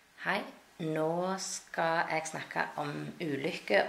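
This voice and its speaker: A woman's very deep, low voice at a very slow pace. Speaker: language teacher. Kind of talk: language lesson explaining pictures.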